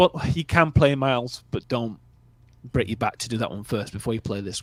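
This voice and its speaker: Lively intonation and a moderate pace come with a northern English accent in a dry, close sound with no echo. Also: man. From northern England. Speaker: movie review livestream host. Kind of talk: casual chat. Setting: livestream. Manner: relaxed.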